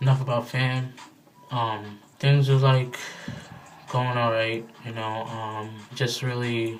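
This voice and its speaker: Against noticeable background noise and audible room echo, a man talks at a fairly slow pace, his medium-pitched voice monotone and flat. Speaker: vlogger. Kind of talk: casual video diary. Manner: casual, filler-heavy.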